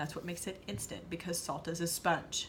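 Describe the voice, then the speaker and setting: The speech moves at a fairly quick pace. Room echo is audible throughout. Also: woman. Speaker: nutrition coach. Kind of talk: tutorial. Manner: fast.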